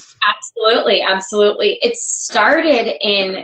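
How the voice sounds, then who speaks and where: A woman with a normal speaking voice and an American accent talks at a medium pitch with ordinary pitch variation. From New York. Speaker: author and journalist. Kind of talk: interview answer.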